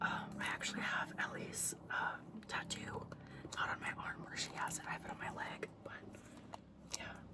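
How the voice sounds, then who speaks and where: The speaker is whispering at a moderate pace with long, frequent pauses. Noticeable background noise can be heard. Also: woman. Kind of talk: ASMR show and tell, whispered talk to camera. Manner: whispered, soft.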